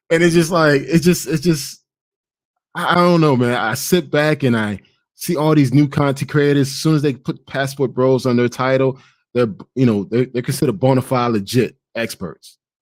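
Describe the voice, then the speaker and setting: A man with a Haitian accent speaks at a medium pitch in an animated tone. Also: ordinary pitch variation, moderate pace. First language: Haitian Creole. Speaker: travel content creator. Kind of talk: podcast monologue. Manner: halting.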